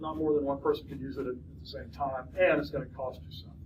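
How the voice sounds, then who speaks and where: A man speaks at a medium pitch with very wide pitch swings. Audible room echo surrounds his voice. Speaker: college lecturer. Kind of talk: lecture. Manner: halting, many fillers and restarts.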